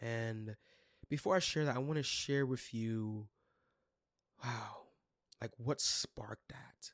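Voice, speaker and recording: A man with a New York accent speaks very slowly at a medium pitch, with ordinary pitch variation, long and frequent pauses, and a dry, close sound with no echo. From Brooklyn, New York. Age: 20s. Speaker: youth leader and podcast host. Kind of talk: solo podcast teaching talk. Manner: casual, enthusiastic.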